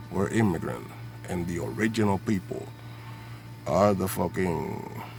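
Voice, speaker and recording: A man's very deep, low voice in a Spanish accent, fairly slow, with very wide pitch swings, audible room echo and music in the background. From Puerto Rico. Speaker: vlogger. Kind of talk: political rant. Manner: animated.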